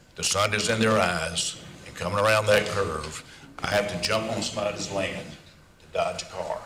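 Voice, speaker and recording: Over noticeable background noise and audible room echo, a man talks at a moderate pace with a fairly low pitch. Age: 80s+. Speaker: local resident giving public comment. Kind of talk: public comment at council hearing. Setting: city council meeting.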